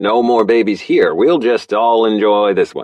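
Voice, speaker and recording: A man puts on a character voice at medium pitch and a moderate pace. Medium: read story.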